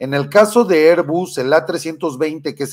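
Animated and fairly high in pitch, a man talks with a Mexican accent and ordinary pitch variation. The background stays quiet. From Mexico, Michoacán. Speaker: political commentary show host. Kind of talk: live political commentary. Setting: studio. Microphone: webcam.

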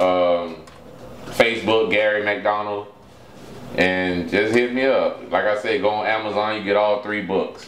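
With noticeable background noise and audible room echo, a man talks at a fairly low pitch with fairly even intonation. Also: fairly slow pace. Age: 40s. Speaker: author. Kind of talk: casual chat.

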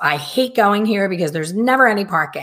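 A woman against a quiet background. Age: 50s. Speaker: hair colorist and educator. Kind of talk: casual chat. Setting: live video stream. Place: home room.

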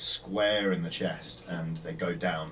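A man with a very deep, low pitch talks very slowly over light background noise. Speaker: tabletop game master. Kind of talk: tabletop role-play session. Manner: animated. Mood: relaxed, hesitant fillers. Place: studio.

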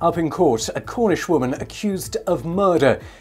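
Faint music plays in the background as a man talks with lively intonation. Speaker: radio newsreader. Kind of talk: radio news bulletin. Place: studio.

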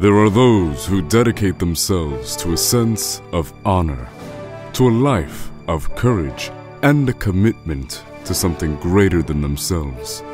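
With music in the background, a man with a very deep, low voice talks at a fairly slow pace, his pitch swinging very widely. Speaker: voice actor. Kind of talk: TV commercial read.

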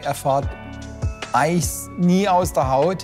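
A man speaks with a Baden accent. Music plays in the background. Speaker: workshop foreman, hydraulics pre-assembly. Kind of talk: interview answer. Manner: upbeat, joking.

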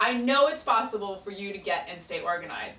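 With an upbeat, animated tone, a woman talks at a moderate pace amid audible room echo. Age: 30s. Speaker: professional organizer. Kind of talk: audition pitch to camera. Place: office. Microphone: camera far.

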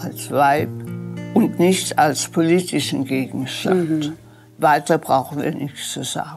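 A woman's very deep, low voice at a very slow pace, with ordinary pitch variation, big swings in loudness, and faint music in the background. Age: 80s+. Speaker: historical eyewitness. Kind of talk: interview answer. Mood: reflective, emotional recollection.

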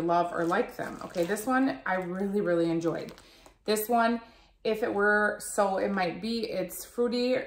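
Over light background noise and audible room echo, a woman speaks at a fairly slow pace. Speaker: product reviewer. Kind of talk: casual vlog chat. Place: home room. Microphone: phone near.

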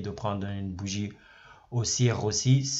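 A man talks in a somewhat breathy voice. His pitch varies in an ordinary way. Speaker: trading educator YouTuber. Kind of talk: screen-share tutorial. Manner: repetitive, filler words, casual.

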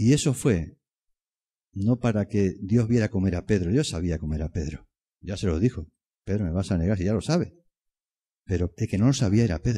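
Somewhat breathy and dark, mellow in tone, a man talks at a fairly low pitch and fairly quick pace with ordinary pitch variation and long, frequent pauses, on a very clean recording with a silent background. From Extremadura, Spain. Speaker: preacher. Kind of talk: sermon. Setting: church. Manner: earnest, persuasive, pastoral; rhetorical, repeats phrases for emphasis.

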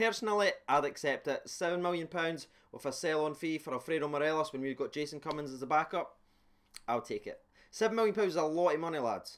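Against a quiet background, the speech goes at a very fast pace with ordinary pitch variation. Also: man. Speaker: football fan vlogger. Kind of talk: casual vlog chat. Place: home room. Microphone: studio mic.

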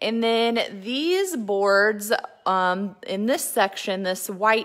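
A woman speaks at a very slow pace with a bright, sharp tone. Her pitch varies in an ordinary way over a quiet background. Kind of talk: casual livestream tour chat. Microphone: phone near.

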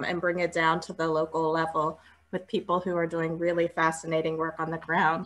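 A woman's fairly low-pitched voice with a bright, sharp tone. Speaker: panel moderator. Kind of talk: moderator introduction. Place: home room. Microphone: earbuds.

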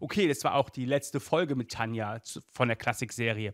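A man speaks with a fairly bright tone in a very clean recording against a silent background.

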